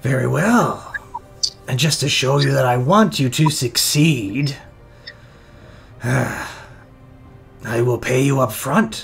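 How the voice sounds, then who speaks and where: Using a put-on character voice, a raspy man talks at a fairly slow pace with long, frequent pauses over clear music in the background. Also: medium pitch for a man. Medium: actual play. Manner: stern, guarded.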